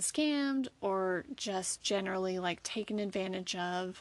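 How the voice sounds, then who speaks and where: In an American accent, a woman talks at a medium pitch against a quiet background. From US South. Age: 30s. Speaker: astrology podcaster. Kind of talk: solo monologue. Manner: casual, hesitant with fillers.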